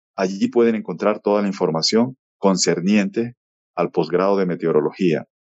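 A man in a plain, everyday voice speaks at a moderate pace with fairly low pitch, fairly even intonation and very even loudness. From Colombian Caribbean coast, Valledupar. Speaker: meteorology professor. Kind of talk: radio interview. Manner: formal.

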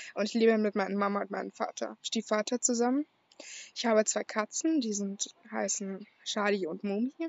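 A woman speaks with an unremarkable speaking voice at a moderate pace. Her pitch is medium, with ordinary pitch variation. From Berlin, Germany. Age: young. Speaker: podcaster. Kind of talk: personal monologue.

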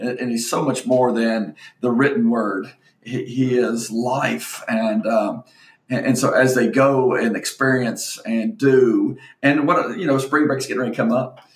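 A plain, everyday voice talks at a fairly slow pace. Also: man, medium pitch for a man, ordinary pitch variation. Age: 50s. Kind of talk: casual chat.

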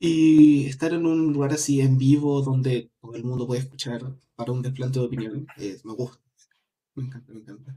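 A man's dark, mellow voice comes across somewhat breathy, with fairly even intonation. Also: medium pitch for a man, moderate pace, big swings in loudness. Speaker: podcast panelist. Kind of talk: casual chat.

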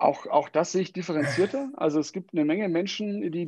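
The man's voice sits high in pitch, with a dark, mellow tone. His pitch moves in an ordinary way. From Germany, Wiesbaden (Hesse). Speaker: HR consultant. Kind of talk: interview. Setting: home office, live stream.

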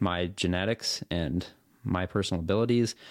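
Recorded very cleanly against a silent background, a man with a West Coast US accent speaks in a very deep, low voice with fairly even intonation. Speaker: professional triathlete and video creator. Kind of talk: casual interview chat.

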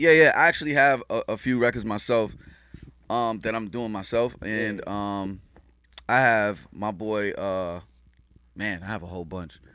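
With a New York accent, a man speaks at a moderate pace in a bright, sharp, fairly low voice, with ordinary pitch variation, big swings in loudness and long, frequent pauses. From Queens, New York, Haitian family. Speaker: music producer and engineer. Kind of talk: casual chat.

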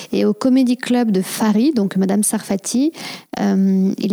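A woman has a plain, everyday voice with a fairly high pitch and ordinary pitch variation. The recording is dry and close, with no echo. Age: 30s. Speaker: podcast host and hypnotherapist. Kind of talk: casual interview chat.

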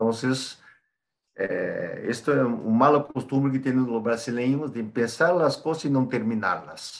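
With a Brazilian accent, a man talks at a fairly slow pace in a medium pitch with ordinary pitch variation. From Brazil, São Paulo. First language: Portuguese (speaking Spanish). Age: 40s. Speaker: export supervisor, Spanish learner. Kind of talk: interview.

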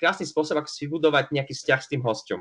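Against a quiet background, a man rattles along at a very fast pace in a fairly high voice with a bright, sharp tone. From Slovakia, Prešov. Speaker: bartender and barista. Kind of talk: interview. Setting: remote call.

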